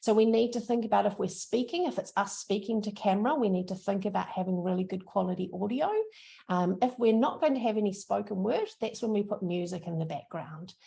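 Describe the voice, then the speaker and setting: A woman with a strong New Zealand accent, a medium pitch, a dark, mellow, somewhat breathy tone, ordinary pitch variation and a fairly quick pace. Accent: thick New Zealand. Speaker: social media trainer. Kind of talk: workshop presentation. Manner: casual, upbeat.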